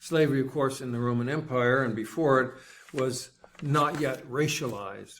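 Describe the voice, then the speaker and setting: A man talks at medium pitch and a moderate pace. He has a plain, everyday voice with fairly even intonation. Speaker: preacher. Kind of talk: sermon delivered to a congregation.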